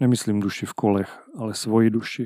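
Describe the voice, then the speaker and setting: A man's dark, mellow tone at a moderate pace, dry and close with no echo, on a very clean recording with a silent background. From Haná, Moravia, Czechia. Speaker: podcast host and scooter blogger. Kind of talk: scripted narration.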